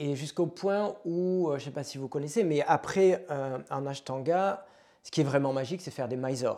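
A man's fairly high-pitched, dark and mellow voice with a southwestern French accent and big swings in loudness. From southwest France, Pau. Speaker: yoga and meditation teacher. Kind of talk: casual interview.

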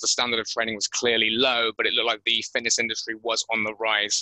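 A man with a West Country accent at a very fast pace, medium in pitch, bright and sharp in tone, with a dry, close sound and no echo. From England, Bristol. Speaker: gym owner and podcast host. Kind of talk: interview.

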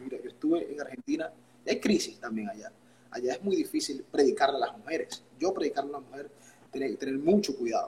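Talking at a very fast pace, a man makes big swings in loudness. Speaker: pastor and worship singer. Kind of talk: interview.

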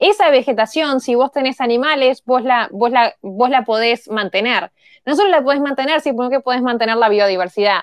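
With a Uruguayan accent, the speaker talks at a fairly quick pace with lively intonation in a dry, close sound with no echo. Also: woman. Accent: Uruguayan Rioplatense Spanish. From Uruguay, Montevideo. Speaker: tech entrepreneur, engineer. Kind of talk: interview conversation.

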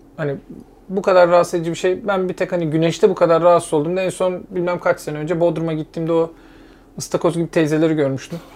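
A high-pitched man's voice, very fast, with monotone, flat intonation. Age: 30s. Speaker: podcast co-host. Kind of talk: casual chat.

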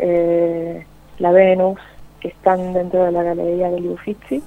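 A woman speaking at a very slow pace. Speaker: opera and gospel singer. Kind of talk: interview.

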